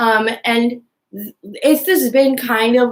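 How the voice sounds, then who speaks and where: Mumbling at a very slow pace, a woman speaks with ordinary pitch variation. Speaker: youtuber. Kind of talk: casual rant. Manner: mumbling, like marbles in mouth; halting, many fillers.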